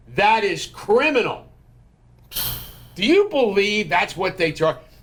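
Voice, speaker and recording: With music in the background, a man speaks in an American accent at a fairly slow pace. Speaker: podcast host. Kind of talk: casual political chat. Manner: loud.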